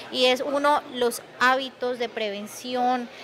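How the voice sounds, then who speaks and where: A woman's high-pitched voice with fairly even intonation over light background noise. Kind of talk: press statement answer. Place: hall. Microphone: handheld.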